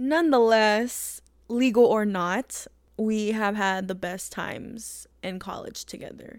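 A woman with an unremarkable speaking voice talks at a fairly high pitch with ordinary pitch variation. The recording is very clean, the background silent. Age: 20s. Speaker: podcaster. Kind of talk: personal monologue. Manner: casual, with fillers.

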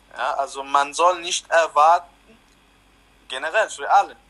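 A man with an Arabic accent, fairly high in pitch, at a fairly slow pace with ordinary pitch variation. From Lebanon. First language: Arabic (speaking German). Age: 20s. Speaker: refugee interviewee. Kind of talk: interview.

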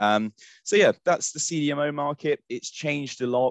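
Delivered at a moderate pace with ordinary pitch variation, a normal speaking voice comes through over a quiet background. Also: man. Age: 20s. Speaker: recruitment headhunter. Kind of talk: interview.

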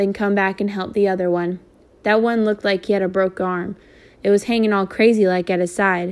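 Fairly even intonation in plain reading aloud

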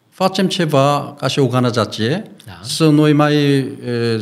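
A man with a Korean accent speaks with fairly even intonation. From South Korea. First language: Korean (speaking Romanian). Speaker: pastor and missionary. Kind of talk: interview. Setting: studio. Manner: halting, broken Romanian with fillers.

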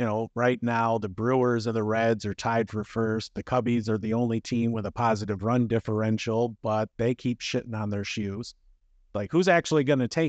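A man's ordinary speaking voice at a medium pitch, moderate in pace, with fairly even intonation. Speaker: podcast host. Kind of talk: casual sports chat. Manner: joking, crude humor.

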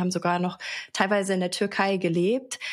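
This woman sounds somewhat breathy, with medium pitch and fairly even intonation. She keeps a moderate pace. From Baden-Baden, Germany. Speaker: podcast co-host. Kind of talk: casual chat.

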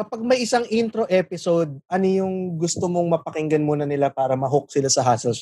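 The speech runs at a very fast pace. Hardly any pauses break it up. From Philippines, Pasay. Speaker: podcast host. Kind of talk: casual banter interview. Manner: joking, animated.

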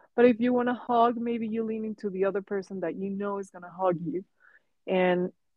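A woman with a Spanish accent, medium pitch, ordinary pitch variation, and a moderate pace. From Mexico. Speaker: artist. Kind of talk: casual chat. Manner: halting.

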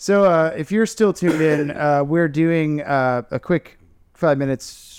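In a dry, close sound with no echo, a man with an American accent speaks in a normal speaking voice, fairly high-pitched and with lively intonation. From Tampa, Florida. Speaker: podcast host, tattoo artist. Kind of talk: sponsor plug; casual chat.

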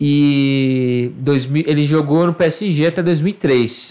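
A man's voice carries a dark, mellow tone. His pitch variation is ordinary. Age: 30s. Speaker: digital marketing worker. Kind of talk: casual chat.

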